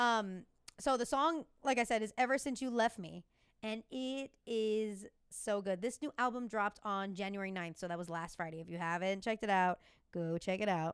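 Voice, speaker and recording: The recording is very clean with a silent background. A woman with an American accent speaks in an animated tone at a medium pitch. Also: ordinary pitch variation. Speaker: podcast host and fitness instructor. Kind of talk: casual solo podcast chat. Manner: fast.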